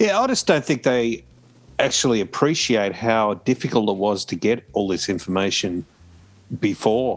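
Moderate-paced speech from a man with an Australian accent. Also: medium pitch for a man, ordinary pitch variation. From Australia, New South Wales south coast. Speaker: podcast panelist. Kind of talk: casual chat.

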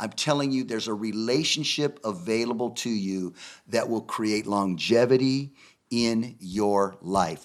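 Delivery is fairly slow, and the pitch rises and falls in a normal way. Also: man, medium pitch for a man. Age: 60s. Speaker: minister and speaker. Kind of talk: casual chat. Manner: preachy, emphatic.

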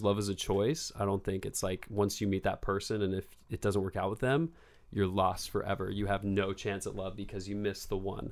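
Speaking at a fairly quick pace, a man with a West Coast accent has a fairly low pitch. The recording is very clean with a silent background. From Bend, Oregon. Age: 20s. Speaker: actor and model. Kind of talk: casual chat.

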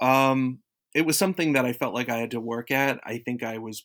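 A man with an American accent uses a normal speaking voice at medium pitch, moderate pace and ordinary pitch variation, in a very clean recording with a silent background. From South Florida. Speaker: radio alum. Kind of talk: casual interview.

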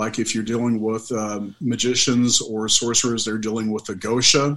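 Moderate in pace, this is an ordinary speaking voice. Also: man. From Oklahoma. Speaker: paranormal investigator and medium. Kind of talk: casual interview chat.

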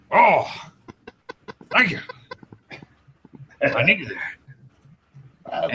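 This put-on character voice is raspy and pitched extremely high. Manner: grateful.

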